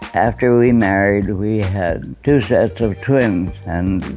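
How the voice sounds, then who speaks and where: The speaker talks at a very slow pace. Music plays in the background. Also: man. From Canada (Manitoba). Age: 80s+. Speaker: retired engineer, war veteran. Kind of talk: interview answer.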